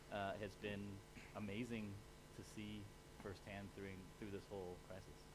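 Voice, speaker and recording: The speaker talks at a fairly quick pace with an American accent. Noticeable background noise runs underneath. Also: man. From United States. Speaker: panelist. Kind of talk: panel discussion.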